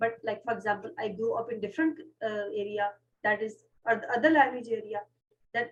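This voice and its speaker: With a Pashto accent, a woman speaks fairly quickly at a fairly high pitch, with ordinary pitch variation. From Pakistan. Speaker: podcast host. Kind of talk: casual chat. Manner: fast.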